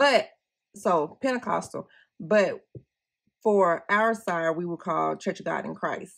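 A woman at medium pitch, lively in intonation, at a fairly slow pace with long, frequent pauses, against a quiet background. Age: 40s. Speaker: planner YouTuber; planner vlogger. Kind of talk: casual tutorial vlog. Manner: chatty, rambling.

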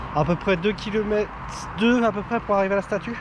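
Noticeable background noise sits under a man talking at a fairly quick pace. The sound is dry, with no echo. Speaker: travel vlogger. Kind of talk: casual vlog chat. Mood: relaxed, content. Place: forest. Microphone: phone near.

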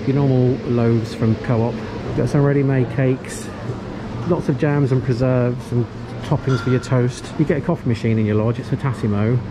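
A man speaks fairly quickly against noticeable background noise. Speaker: vlogger. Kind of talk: casual vlog chat. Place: shop. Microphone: phone near.

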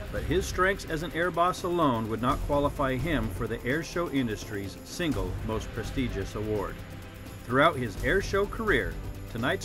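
A man at a moderate pace over music in the background. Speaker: voiceover narrator. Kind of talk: awards presentation narration.

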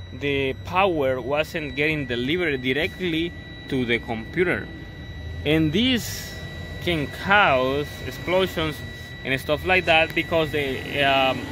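A man speaks at a very slow pace, the sound dry with no echo and noticeable noise in the background. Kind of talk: tutorial. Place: car. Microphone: phone near.

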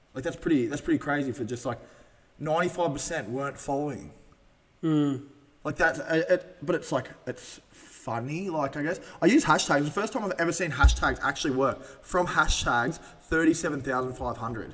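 At a moderate pace, a man with an Australian accent speaks in a fairly high voice with ordinary pitch variation. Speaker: podcast host. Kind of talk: casual chat. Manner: words run together. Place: studio. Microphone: studio mic.

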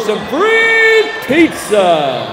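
A man talks in an energetic, upbeat tone with very wide pitch swings. Noticeable background noise can be heard. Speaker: public address announcer. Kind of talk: hyped-up crowd-engaging PA announcement. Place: stadium.

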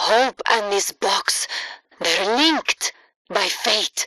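A woman's put-on character voice, medium in pitch, bright and sharp in tone, with lively intonation at a very slow pace, in a dry, close recording with no echo

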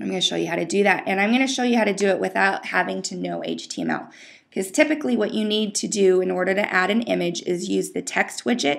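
On a very clean recording with a silent background, a woman speaks at a very fast pace. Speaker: WordPress tutorial host. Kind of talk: screen-recorded tutorial. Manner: casual, many filler words.

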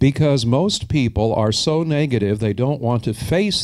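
Very wide pitch swings from a man, quiet background behind him. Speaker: metaphysical minister and lecturer. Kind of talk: inspirational lecture with guided healing treatment. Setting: lecture hall with seated audience. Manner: slow. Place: stage. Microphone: handheld.

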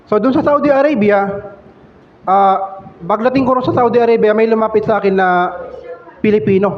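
Over noticeable background noise and audible room echo, a man with a high pitch talks at a fairly quick pace with ordinary pitch variation and long, frequent pauses. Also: very even loudness. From Philippines, Valenzuela City. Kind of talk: testimony. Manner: halting.

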